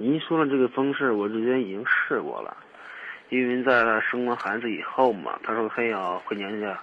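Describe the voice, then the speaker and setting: Over noticeable background noise, a man with a medium pitch speaks at a moderate pace with ordinary pitch variation. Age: 30s. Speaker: caller seeking relationship advice. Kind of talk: phone-in advice call. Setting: phone call. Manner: halting.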